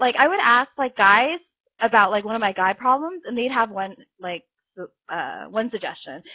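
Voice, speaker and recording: A woman's animated, fairly high voice with lively intonation and big swings in loudness. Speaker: vlogger. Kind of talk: casual chat. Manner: fast.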